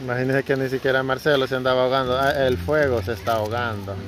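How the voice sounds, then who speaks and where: Words come out very fast with fairly even intonation, the sound dry and free of echo over noticeable background noise. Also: man. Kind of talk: casual vlog chat. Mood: playful, laughing. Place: garden. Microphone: phone near.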